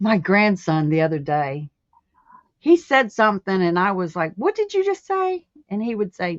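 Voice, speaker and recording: In an ordinary speaking voice, a woman of medium pitch talks at a moderate pace with lively intonation. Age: 60s. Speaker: crochet crafter. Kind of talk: casual chat.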